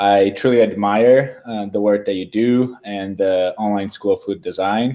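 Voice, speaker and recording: A man with a slight Brazilian accent speaks at a fairly slow pace and fairly low pitch. His tone is dark and mellow, and his intonation fairly even. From Brazil, São Paulo. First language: Portuguese. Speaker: food design researcher. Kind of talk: webinar interview, self-introduction. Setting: live video webinar.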